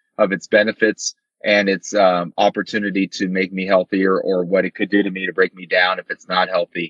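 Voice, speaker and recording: Here a man with an unremarkable speaking voice talks at a moderate pace and a fairly low pitch. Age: 50s. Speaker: amateur triathlete. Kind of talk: casual interview.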